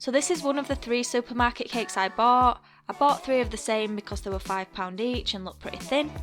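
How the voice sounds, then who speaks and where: A woman with a British accent at a fairly quick pace, fairly high pitch and ordinary pitch variation, with music in the background. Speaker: cake decorator. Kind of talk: baking tutorial voice-over.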